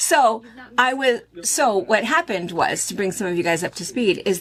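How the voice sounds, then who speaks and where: With an American accent, a woman sounds animated, with lively intonation, a moderate pace and vocal fry, on a very clean recording with a silent background. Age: 60s. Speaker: quilt shop owner and video host. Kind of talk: casual chat.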